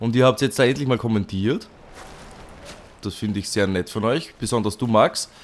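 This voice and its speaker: A man is talking. His pace is fairly quick. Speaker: let's play commentator. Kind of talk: casual gaming commentary.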